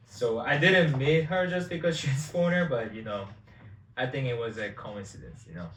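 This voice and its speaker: At a moderate pace and medium pitch, a man with a Korean accent speaks with very wide pitch swings and big swings in loudness, with audible room echo. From South Korea. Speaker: vlogger. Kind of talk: casual chat.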